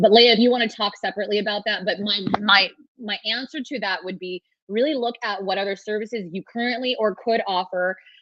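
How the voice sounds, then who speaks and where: Ordinary pitch variation comes with a fairly quick pace of speech. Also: woman, medium pitch for a woman. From California. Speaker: trademark lawyer. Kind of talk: webinar talk with Q&A. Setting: virtual summit video call. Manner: casual, fast with many restarts.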